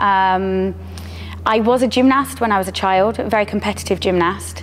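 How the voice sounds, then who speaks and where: Here is a woman with a southern English accent. She talks at a moderate pace. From southern England. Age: 30s. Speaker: strength coach and athlete. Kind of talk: personal testimony interview.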